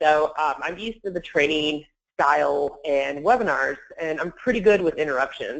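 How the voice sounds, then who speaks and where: A woman speaks in a very deep, low pitch with vocal fry and ordinary pitch variation. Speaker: webinar presenter, sourcing trainer. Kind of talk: webinar presentation. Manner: fast.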